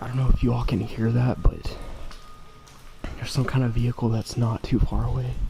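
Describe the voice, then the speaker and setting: Amid noticeable background noise, a man speaks quietly and fairly quickly, with long, frequent pauses. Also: medium pitch for a man, fairly even intonation. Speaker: urban explorer vlogger. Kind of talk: casual vlog narration. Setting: indoors in abandoned factory. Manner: quiet, hushed to avoid security.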